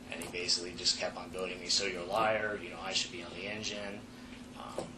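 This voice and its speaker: A man with a very deep, low pitch speaks very fast in a monotone, flat intonation, with big swings in loudness. Noticeable background noise and audible room echo are present. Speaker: firefighter in internal investigation interview. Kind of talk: investigative interview testimony.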